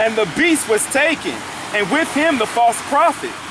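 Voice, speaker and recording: A man speaks at a moderate pace with an extremely high pitch. His intonation is lively, and there is noticeable background noise. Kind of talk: street preaching, reading scripture and commenting. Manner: fervent, emphatic.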